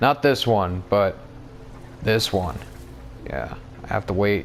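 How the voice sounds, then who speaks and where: Over noticeable background noise, a man mumbles at a fairly slow pace with ordinary pitch variation. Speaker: gamer. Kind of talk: let's play game commentary. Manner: mumbling.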